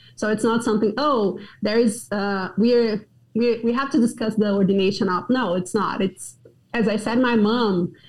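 A fairly high-pitched woman talks at a moderate pace with a somewhat breathy voice. Her intonation is fairly even and her loudness very even. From Brazil, Goiânia. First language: Portuguese. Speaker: pastor. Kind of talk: interview.

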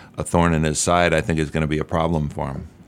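In an American accent, a man speaks with a very deep, low pitch and flat, monotone intonation. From Albany, New York. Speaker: election attorney. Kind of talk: radio interview.

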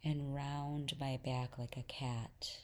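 Speaking at a fairly slow pace, a woman with a very deep, low pitch uses a soothing tone and monotone, flat intonation. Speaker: holistic coach and podcast host. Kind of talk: guided meditation. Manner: soft, slow, soothing; warm, calm.

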